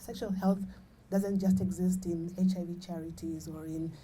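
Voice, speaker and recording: In a room with audible echo, a woman speaks at a moderate pace with a somewhat breathy voice and a fairly low pitch. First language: not English. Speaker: HIV charity founder. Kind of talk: panel discussion.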